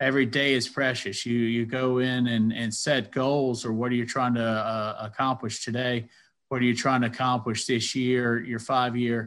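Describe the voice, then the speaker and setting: A man with an American accent at medium pitch, monotone and flat in intonation, at a moderate pace. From US South, Athens, Georgia. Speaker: commercial real estate broker and engineer. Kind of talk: interview. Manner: halting, many fillers.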